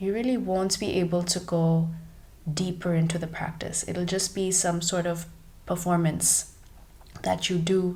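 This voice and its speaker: A woman's somewhat breathy, fairly low voice, calm in tone, with monotone, flat intonation and a fairly slow pace. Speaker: yoga and Ayurveda teacher. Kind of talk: guided breathing meditation. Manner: calm, slow, instructional.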